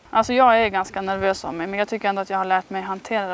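With ordinary pitch variation, a woman speaks very fast in a dry recording with no echo. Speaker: interviewee. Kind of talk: interview answer. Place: garden. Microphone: lapel.

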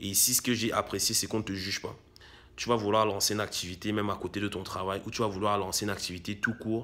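Very fast and flat, a man's monotone voice sits at a fairly low pitch with a bright, sharp tone. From Cameroon. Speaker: YouTuber, real estate investment coach; YouTuber, investment coach. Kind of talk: vlog monologue addressing viewer. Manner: frequent fillers and hesitations. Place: home room. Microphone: phone near.

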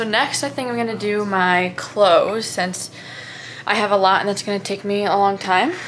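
With fairly even intonation, a woman speaks at a moderate pace over light background noise. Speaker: college student vlogger. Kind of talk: casual vlog chat. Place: home room.

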